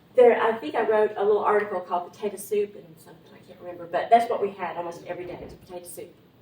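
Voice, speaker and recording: Over noticeable background noise, someone talks very fast in an Appalachian accent, with ordinary pitch variation, big swings in loudness and hardly any pauses. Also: woman, medium pitch for a woman. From Appalachian Tennessee. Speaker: writer and editor, invited speaker. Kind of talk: talk to a writers' group. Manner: halting, many fillers.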